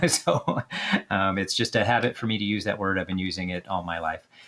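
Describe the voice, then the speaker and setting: A man with a very deep, low pitch talks at a very fast pace. Noticeable background noise runs behind him. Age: 50s. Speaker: card game YouTuber. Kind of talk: casual gameplay commentary. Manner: halting, many fillers.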